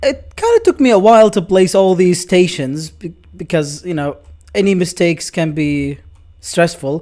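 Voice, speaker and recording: A man's high-pitched voice with a dark, mellow tone, ordinary pitch variation and a moderate pace. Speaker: gaming youtuber. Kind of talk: gameplay commentary. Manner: animated.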